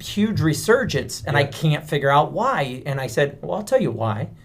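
A man talks at a fairly high pitch with vocal fry. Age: 40s. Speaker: podcast co-host. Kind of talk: casual chat.

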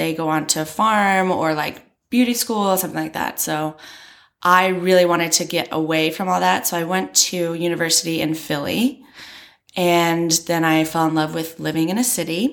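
On a very clean recording with a silent background, a woman with an American accent uses an ordinary speaking voice, fairly low in pitch, with ordinary pitch variation at a moderate pace. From US, rural Maryland. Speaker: entrepreneur. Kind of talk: casual chat.

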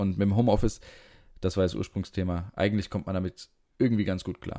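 A man talks at a very fast pace. His pitch is very deep and low, with a dark, mellow tone. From Frankfurt, Hesse. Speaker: podcast co-host. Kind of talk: casual chat. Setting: video call from home.

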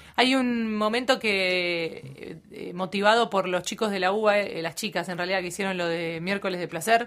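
With hardly any pauses, a woman talks at a moderate pace in a normal speaking voice of medium pitch and ordinary pitch variation. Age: 30s. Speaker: radio announcer. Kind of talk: casual chat.

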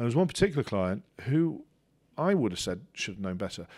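Speaking at a very fast pace, a man talks with a West Country accent. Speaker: university lecturer and doctoral student. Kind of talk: interview conversation. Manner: self-reflective, hesitant with many fillers.

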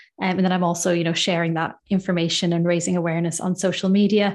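Against a quiet background, a woman with an Irish accent talks at a fairly quick pace. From Ireland. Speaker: dietitian. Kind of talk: interview. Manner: calm.

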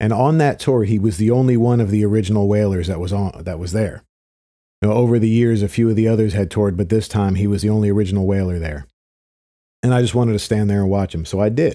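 A man with an American accent talks very fast in a fairly low voice with a dark, mellow tone. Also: ordinary pitch variation. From Philadelphia area, US. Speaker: podcast host, reggae promoter. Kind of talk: solo podcast monologue.

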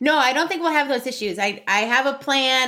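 A woman's bright, sharp tone at a fairly quick pace. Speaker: podcast co-host, employment lawyer/HR expert. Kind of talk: casual chat. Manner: giggly.

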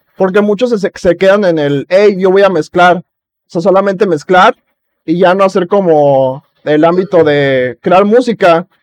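In a Mexican accent, a man with a high pitch and ordinary pitch variation talks at a fairly slow pace, recorded dry and close with no echo. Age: 20s. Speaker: podcast host. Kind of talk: casual chat.

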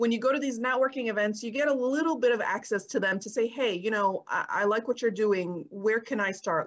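A woman talks with a New York accent. She keeps a moderate pace and ordinary pitch variation. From US Northeast (Brooklyn, New York). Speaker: real estate investor and IT analyst. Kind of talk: interview. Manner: halting, many fillers.

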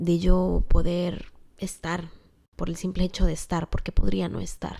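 The tone is dark and mellow, at a moderate pace. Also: woman. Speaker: podcast host. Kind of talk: personal storytelling monologue. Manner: casual, conversational.

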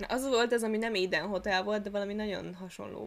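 The speaker has a plain, everyday voice, its intonation fairly even. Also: woman. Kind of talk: casual chat. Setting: new recording location.

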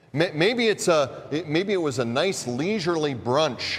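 Pitched fairly high, a man speaks with lively intonation. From US Midwest. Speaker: pastor. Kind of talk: sermon. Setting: church.

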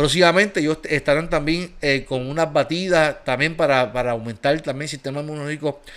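A man with a fairly high voice talks at a moderate pace, his pitch varying in an ordinary way. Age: 40s. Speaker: pastor. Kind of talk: casual chat. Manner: animated.

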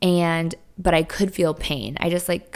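The speaker is a woman. Her pitch sits fairly low. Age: 30s. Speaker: podcast host. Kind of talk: casual monologue.

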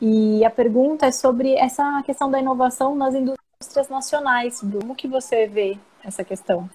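Her voice is high, with a dark, mellow tone and ordinary pitch variation. The woman keeps a moderate pace with hardly any pauses. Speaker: co-host. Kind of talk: casual interview. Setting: live stream video call.

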